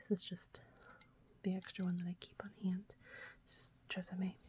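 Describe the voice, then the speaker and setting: Soft-spoken and somewhat breathy, a woman with an American accent talks at a fairly slow pace in a medium-pitched voice with a dark, mellow tone. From Texas, USA. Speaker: ASMR creator. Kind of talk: ASMR talk to camera, casual product show-and-tell.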